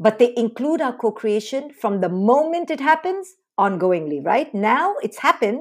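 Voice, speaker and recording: On a very clean recording with a silent background, a woman speaks at a fairly slow pace. Her tone is animated, with very wide pitch swings. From India. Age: 40s. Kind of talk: interview.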